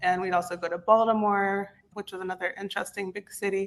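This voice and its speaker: Speaking with an American accent, a woman uses a plain, everyday voice of medium pitch with fairly even intonation. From US East Coast, West Virginia. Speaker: content repurposing specialist. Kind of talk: interview.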